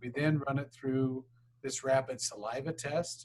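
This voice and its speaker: A man's medium-pitched, somewhat breathy voice. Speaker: university administrator presenting a grant request. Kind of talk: grant presentation at public board meeting. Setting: public board meeting. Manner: fast.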